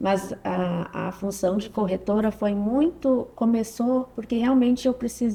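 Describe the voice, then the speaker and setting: A woman's normal speaking voice, fairly high in pitch, with ordinary pitch variation. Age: 30s. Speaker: physiotherapist and mother, podcast guest. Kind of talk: casual interview conversation.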